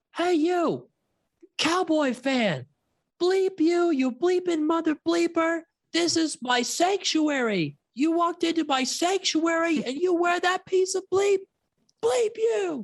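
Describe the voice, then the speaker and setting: A put-on character voice sits at an extremely high pitch. It moves at a fairly slow pace. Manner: angry, confrontational.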